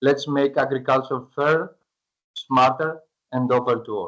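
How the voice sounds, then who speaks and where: This man, with a Greek accent, speaks at a moderate pace in a fairly high pitch. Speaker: startup founder pitching to investors. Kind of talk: pitch presentation; Q&A answer. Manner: halting, hesitant with fillers.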